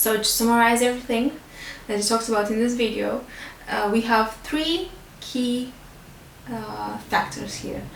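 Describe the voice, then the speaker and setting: Speaking with a non-native accent, a woman uses a fairly high pitch. There is audible room echo and light background noise. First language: not English. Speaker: beauty and fitness vlogger; fitness vlogger. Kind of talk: educational talk to camera. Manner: hesitant, many fillers; simple, easy English. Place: home room.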